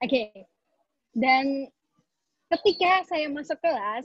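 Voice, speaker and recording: At a moderate pace, a woman talks in a high voice with lively intonation, the sound dry with no echo and the background quiet. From Indonesia. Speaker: business consultant; webinar presenter. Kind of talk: webinar talk. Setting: video call. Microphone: video call.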